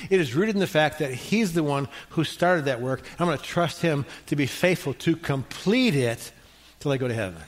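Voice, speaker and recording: A man's fairly high-pitched, ordinary speaking voice, fairly quick in pace, with lively intonation. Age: 60s. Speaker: pastor. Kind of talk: sermon. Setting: church.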